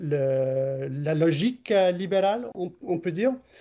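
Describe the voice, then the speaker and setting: A man with a non-native accent talks at a fairly slow pace, high-pitched with a dark, mellow tone. His pitch varies in an ordinary way over a quiet background. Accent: non-native French, imperfect. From Canada. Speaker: political scientist. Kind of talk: interview. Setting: podcast interview. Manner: halting, many hesitations.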